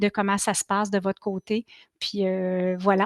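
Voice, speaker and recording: A woman with a Quebec accent, monotone and flat in intonation, dry and close with no echo. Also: quiet background. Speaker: marketing consultant, speaker. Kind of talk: Q&A answers; webinar presentation. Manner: fast; hesitant fillers (euh).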